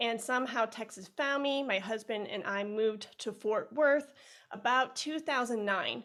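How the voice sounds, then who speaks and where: A woman in a Chicago accent, with ordinary pitch variation, on a very clean recording with a silent background. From US Midwest, Chicago. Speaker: music educator. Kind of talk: podcast interview.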